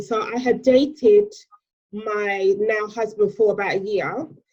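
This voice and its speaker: A woman's dark, mellow voice with a British accent and ordinary pitch variation. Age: 30s. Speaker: stepmom influencer. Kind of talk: interview.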